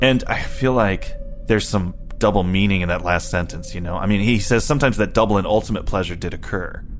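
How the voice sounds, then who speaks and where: A man's very fast speech at a fairly low pitch, with ordinary pitch variation and music in the background. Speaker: podcast co-host. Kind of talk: casual literary discussion. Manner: wry, joking.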